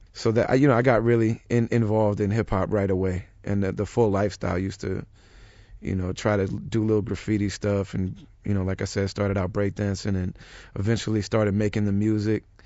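A man's fairly low voice with an American accent, monotone and flat, at a very fast pace. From US Midwest. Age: 30s. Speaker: rapper. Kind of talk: interview.

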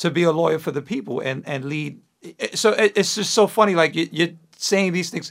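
A man with a high pitch talks fairly quickly, his pitch varying in an ordinary way. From New York, Puerto Rican parents. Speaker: podcast host. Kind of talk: casual interview chat. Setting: studio.

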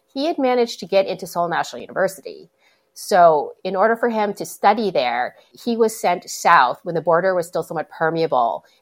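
With very wide pitch swings and vocal fry, a woman speaks at a medium pitch and a fairly quick pace. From northern Minnesota, Iron Range (Hibbing). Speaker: novelist. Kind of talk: interview. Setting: remote interview.

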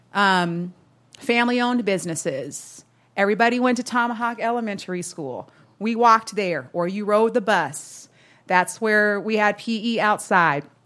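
In a very clean recording with a silent background, a woman with an American accent talks at a moderate pace at a medium pitch with ordinary pitch variation, an unremarkable speaking voice. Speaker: corporate executive. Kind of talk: live panel conversation. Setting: coffee shop with live audience.

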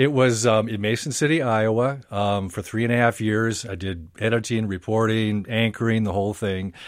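In a normal speaking voice with an American accent, the speaker keeps a moderate pace on a very clean recording with a silent background. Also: man. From Minnesota. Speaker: radio newscaster. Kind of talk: radio interview. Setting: studio.

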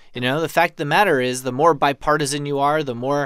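A man with a plain, everyday voice and an American accent speaks at a fairly high pitch with ordinary pitch variation. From New York. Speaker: political editor. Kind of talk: casual political discussion.

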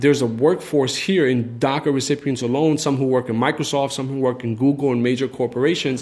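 A man with an American accent at a very fast pace, with hardly any pauses and fairly even intonation, over noticeable background noise. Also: medium pitch for a man. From New York City, raised from age 7 (born Egypt). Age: 20s. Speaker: business owner. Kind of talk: personal testimony.

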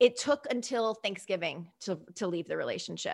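Speaking at a fairly quick pace with fairly even intonation, a woman with an American accent uses a normal speaking voice in a very clean recording with a silent background. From US Northeast. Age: 30s. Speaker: online show host and author. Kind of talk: casual interview chat. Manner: chatty, laughs often.

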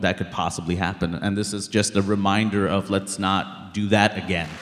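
A man with an American accent speaks at a fairly quick pace and fairly low pitch. Noticeable background noise runs behind him. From Queens, New York. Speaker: comedian and documentary filmmaker. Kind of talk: live interview on stage. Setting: stage with audience.

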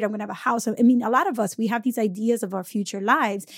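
A woman with a fairly high pitch talks at a fairly quick pace, in an ordinary speaking voice with ordinary pitch variation. The sound is dry and close with no echo, on a very clean recording with a silent background. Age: 30s. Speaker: podcast host and financial educator. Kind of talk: interview.

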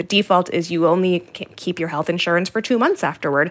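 Speaking at a fairly quick pace, a woman uses a plain, everyday voice with ordinary pitch variation. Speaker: health reporter. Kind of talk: radio interview discussion. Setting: remote from Washington studio.

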